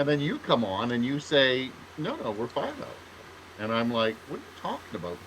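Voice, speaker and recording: A man with a Canadian accent talks at a moderate pace with lively intonation. Noticeable background noise runs behind him. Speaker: writer, podcast co-host. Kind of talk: casual chat. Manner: halting, many fillers and restarts.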